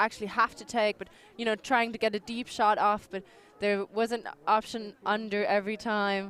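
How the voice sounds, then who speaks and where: A woman's fairly high voice with a German accent and fairly even intonation. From Austria. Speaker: sports commentator. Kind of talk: live commentary. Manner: halting.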